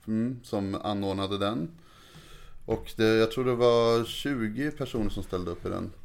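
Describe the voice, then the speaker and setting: A normal speaking voice from a man, medium in pitch with ordinary pitch variation, at a fairly slow pace. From Sweden, Märsta (Stockholm region). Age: 30s. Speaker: comedian. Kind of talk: casual chat.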